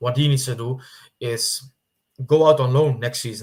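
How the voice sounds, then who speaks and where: Somewhat breathy and at a medium pitch, a man with a non-native accent speaks at a moderate pace with fairly even intonation. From Netherlands. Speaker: football YouTuber. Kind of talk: casual commentary monologue. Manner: halting, with fillers and repetitions.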